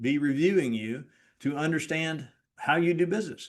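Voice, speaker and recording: Here a man talks at a fairly high pitch with lively intonation. The background is quiet. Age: 60s. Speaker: real estate brokerage leader. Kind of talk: training talk. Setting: recorded video. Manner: emphatic.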